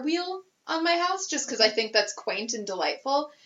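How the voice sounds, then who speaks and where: Very wide pitch swings from a woman talking at a moderate pace. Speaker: podcast co-host. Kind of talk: casual chat. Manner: animated.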